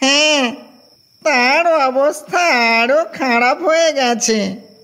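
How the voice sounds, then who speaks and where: At a very slow pace, a high-pitched, put-on character voice speaks. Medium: audio drama. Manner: mild, conversational.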